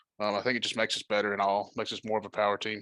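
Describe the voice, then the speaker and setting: Speaking at a very fast pace with a southern Appalachian accent, a man has a bright, sharp tone at medium pitch, recorded very cleanly against a silent background with a dry, close sound and no echo. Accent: country southern Appalachian. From southwest Virginia. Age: 20s. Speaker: sim racing team member, new podcast guest. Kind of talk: casual chat.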